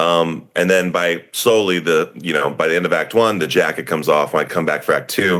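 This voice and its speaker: A man's very deep, low voice at a fairly quick pace with hardly any pauses. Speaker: stage actor. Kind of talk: interview. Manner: loud; animated.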